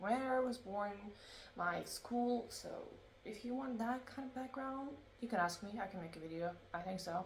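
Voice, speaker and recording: A woman's fairly high voice at a moderate pace, with ordinary pitch variation and audible room echo. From Ukraine. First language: Russian. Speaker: book blogger. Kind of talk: casual vlog talk. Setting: recorded on laptop at home. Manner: halting. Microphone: laptop recording.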